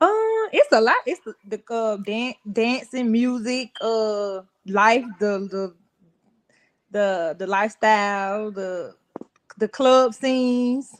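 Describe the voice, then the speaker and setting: An Atlanta accent at a very slow pace, with ordinary pitch variation and big swings in loudness, in a dry, close sound with no echo. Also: woman, fairly high pitch for a woman. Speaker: fashion entrepreneur. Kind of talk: casual interview chat.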